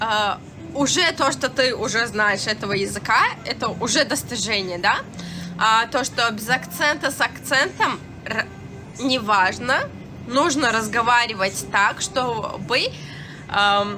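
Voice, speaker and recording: Over background music, a woman with a Turkmen accent speaks at a very slow pace and a fairly high pitch, using ordinary pitch variation and long, frequent pauses. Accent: Turkmen accent in Russian. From Turkmenistan, Ashgabat. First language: Turkmen (speaking Russian). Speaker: live streamer. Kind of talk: casual live stream chat. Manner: halting, many fillers.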